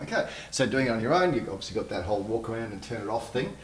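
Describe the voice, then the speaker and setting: A medium-pitched male voice at a very fast pace, lively in intonation, with audible room echo. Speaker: video production trainer. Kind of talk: tutorial.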